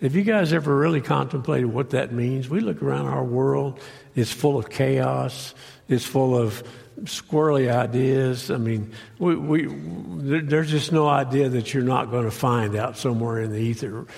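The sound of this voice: A raspy man's voice with vocal fry sits at medium pitch, with a slightly mellow tone. He goes at a fairly slow pace with ordinary pitch variation.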